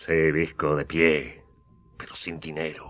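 Slow and in a put-on character voice, a man speaks at extremely low pitch with a fairly bright tone and little pitch movement.

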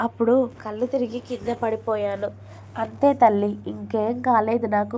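The intonation is fairly even. It comes in a natural reading voice.

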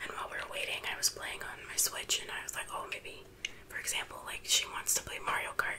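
A woman whispers in a relaxed tone. Her pace is fairly quick. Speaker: ASMR creator. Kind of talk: casual talk to camera. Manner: soft-spoken, relaxed.

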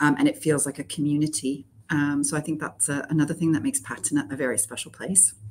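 Very fast woman's voice, very deep and low in pitch, with ordinary pitch variation and light background noise. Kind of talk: interview answer. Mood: warm, enthusiastic. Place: office.

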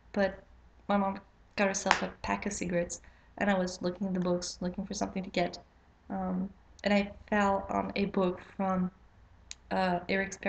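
A woman with monotone, flat intonation, a moderate pace, and long, frequent pauses. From Quebec, Canada. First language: French. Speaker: witchcraft vlogger. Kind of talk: casual vlog intro. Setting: home, late at night. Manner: halting, many fillers. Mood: somewhat nervous, hesitant. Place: home room. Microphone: webcam.

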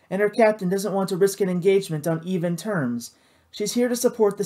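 Ordinary pitch movement in plain reading aloud.

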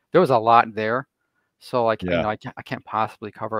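A man against a quiet background, the sound dry with no echo. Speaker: remote guest. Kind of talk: conversational presentation. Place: home room. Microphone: video call.

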